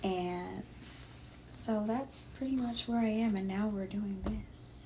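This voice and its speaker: A woman speaks at a very slow pace, her loudness very even. Audible room echo surrounds her voice. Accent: American. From Sacramento, California. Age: 50s. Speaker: podcast co-host. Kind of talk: casual chat.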